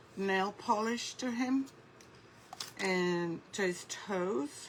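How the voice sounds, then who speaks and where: A woman speaks over noticeable background noise. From United Kingdom (born in Lebanon). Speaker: craft artist. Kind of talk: live craft tutorial. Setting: livestream in a Facebook group.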